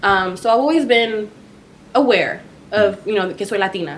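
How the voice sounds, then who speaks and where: In a Spanish accent, a woman speaks at a medium pitch and moderate pace with ordinary pitch variation, with audible echo in the room. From Texas, Dallas (Farmers Branch). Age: 20s. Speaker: podcast guest. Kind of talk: casual chat.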